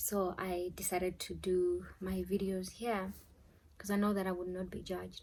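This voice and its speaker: A woman speaks at a moderate pace in a medium pitch, her somewhat breathy voice held to a monotone, flat intonation. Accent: South African. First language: Tshivenda. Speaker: YouTuber, spiritual advice. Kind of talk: casual vlog talk.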